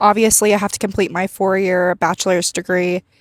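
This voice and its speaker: A woman with a shaky, medium-pitched voice speaks at a fairly quick pace in a very clean recording with a silent background and a dry, close sound with no echo. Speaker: vlogger, pre-med student. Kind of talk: casual vlog monologue. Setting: outdoors walking downtown. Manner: shaky voice from nerves.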